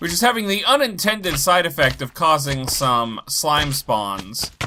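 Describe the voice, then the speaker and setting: Noticeable background noise sits behind a man with a fairly high voice. He talks at a fairly slow pace with very wide pitch swings. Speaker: gaming YouTuber. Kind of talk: let's play commentary. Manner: low energy.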